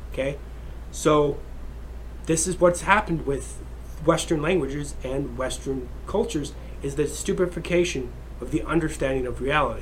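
A man talks with long, frequent pauses. There is audible room echo. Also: moderate pace. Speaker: podcast host. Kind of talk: solo monologue.

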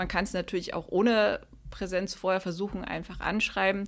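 In a normal speaking voice, a woman talks at a moderate pace and medium pitch on a very clean recording with a silent background. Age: 30s. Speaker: climate activist. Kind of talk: interview. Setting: office rooms.

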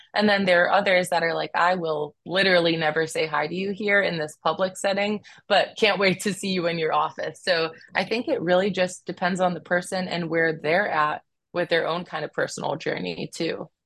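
A woman with an American accent talks at a fairly quick pace and a fairly low pitch. Her voice is an unremarkable speaking voice with fairly even intonation. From Cleveland, Ohio and San Diego. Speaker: psychiatrist. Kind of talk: interview conversation.

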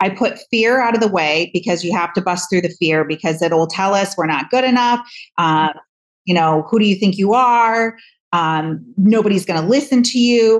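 A woman with an American accent speaks at a medium pitch and a moderate pace in an unremarkable speaking voice. Her loudness is very even and her pitch varies in an ordinary way. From US Midwest, Michigan. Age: 50s. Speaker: hairdresser and author. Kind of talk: interview. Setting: video call.

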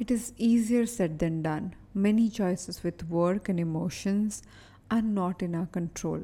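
Recorded very cleanly against a silent background, a woman speaks at a fairly slow pace in a calm, soothing tone, her medium-pitched voice somewhat breathy, dark and mellow, with ordinary pitch variation. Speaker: behavioral analyst and performance coach. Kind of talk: guided meditation. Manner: slow, calm, soothing, with long pauses; gentle, repetitive, hypnotic cadence.

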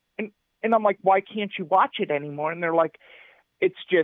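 Speaking at a fairly quick pace, a man uses a high pitch. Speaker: film reviewer. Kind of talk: casual chat. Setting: phone call.

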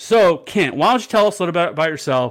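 A man with an American accent talking at a very fast pace with lively intonation, in a very clean recording with a silent background. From Missouri. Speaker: podcast host and veteran. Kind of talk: casual chat.

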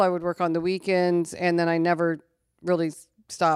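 A woman with an American accent and a plain, everyday voice speaks at a fairly quick pace and fairly low pitch, in a dry, close sound with no echo on a very clean recording with a silent background. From Missouri, small town near St. Louis. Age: 60s. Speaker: podcast guest, businesswoman and real estate broker. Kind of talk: casual chat.

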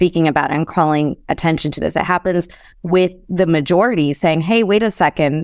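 On a very clean recording with a silent background and a dry, close sound with no echo, a woman with a normal speaking voice and an American accent talks at a fairly quick pace in a fairly low pitch, with ordinary pitch variation and very even loudness. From US Midwest, Chicago. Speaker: real estate investor. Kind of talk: interview conversation.

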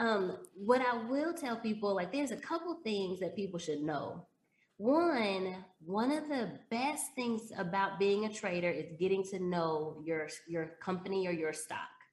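A woman speaks with an American accent at a medium pitch and a fairly slow pace. Her pitch swings very widely, and audible room echo surrounds her voice. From Texas, Dallas. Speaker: stock trader and former teacher. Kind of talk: casual interview.

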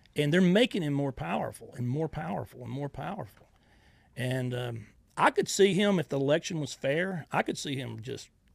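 Speaking at a fairly quick pace, a man with a fairly high pitch and vocal fry uses lively intonation. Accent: Southern US. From US South, Georgia / Florida Panhandle. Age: 50s. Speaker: social media personality, army veteran. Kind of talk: interview. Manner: halting, many fillers.

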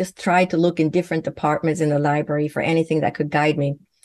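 A woman with a Swedish accent speaks at a fairly low pitch. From Sweden. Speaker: naturopathic physician and medium. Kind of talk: interview.

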